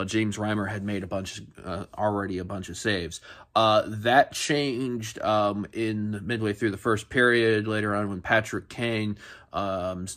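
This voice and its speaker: A man talks in a plain, everyday voice at a fairly low pitch and a moderate pace. His intonation stays fairly even against a quiet background. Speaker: sports podcast host. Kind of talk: casual sports recap commentary. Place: home room. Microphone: phone near.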